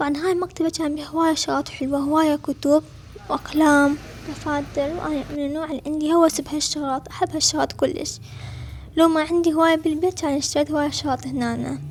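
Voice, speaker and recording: A woman's high, flat, monotone voice in an Iraqi accent at a fairly quick pace, with noticeable background noise. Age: 20s. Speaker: travel vlogger. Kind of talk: vlog narration.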